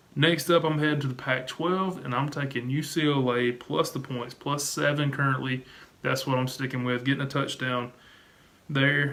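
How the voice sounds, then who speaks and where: A man speaks with a fairly high pitch. His intonation stays fairly even. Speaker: sports betting YouTuber. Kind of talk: sports picks video monologue. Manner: fast.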